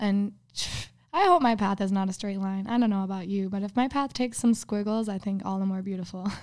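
Speaking at a fairly quick pace, a woman with a slight Minnesotan accent keeps to a medium pitch. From US Midwest, Minnesota. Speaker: guest. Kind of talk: casual chat.

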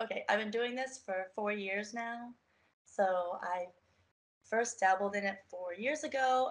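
Using an unremarkable speaking voice, a woman with an American accent talks at a fairly slow pace and a fairly high pitch, with ordinary pitch variation. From US, Baltimore, Maryland. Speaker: model and personal trainer. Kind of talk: interview.

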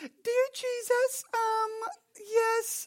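The speaker is a man using a put-on character voice. It sits at an extremely high pitch. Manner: put-on, mocking prayer.

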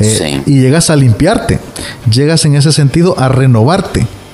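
Over noticeable background noise, a man talks at a medium pitch with ordinary pitch variation. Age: 30s. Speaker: pastor and radio co-host.

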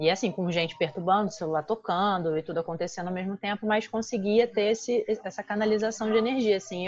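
Pitch varies in an ordinary way as the words come at a very fast pace. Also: woman. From Brazil. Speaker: podcast guest. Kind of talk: casual chat.

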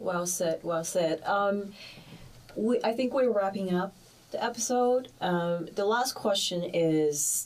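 A woman speaks at a very slow pace. Her loudness stays very even. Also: medium pitch for a woman, ordinary pitch variation. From China (Shanghai). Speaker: podcast co-host, graduate student. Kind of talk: casual chat.

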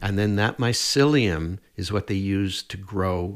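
In a Canadian accent, a man with a very deep, low voice and ordinary pitch variation speaks on a very clean recording with a silent background. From Atlantic Canada, Nova Scotia. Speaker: herbalist and mushroom educator. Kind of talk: interview. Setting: studio.

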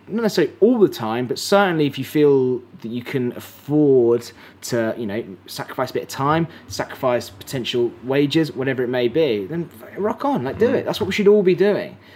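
A man with an English accent, fairly high in pitch, with very wide pitch swings. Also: fairly quick pace. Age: 30s. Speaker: podcast host and filmmaker. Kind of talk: casual chat. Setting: live stream conversation. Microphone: poor audio quality in early episode.

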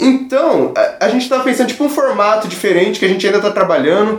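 A man talks at a moderate rate, with audible echo from the room and noticeable noise in the background. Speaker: podcast host. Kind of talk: casual chat.

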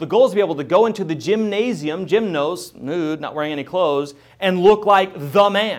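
This man talks at a fairly quick pace with a high pitch and ordinary pitch variation. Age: 30s. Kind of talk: Bible teaching monologue.

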